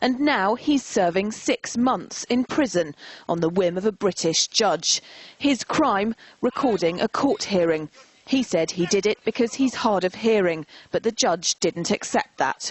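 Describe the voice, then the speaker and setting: Delivered at a fairly slow pace with very even loudness, a woman's medium-pitched voice, an unremarkable speaking voice, moves with lively intonation. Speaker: TV news reporter. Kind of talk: TV news report narration.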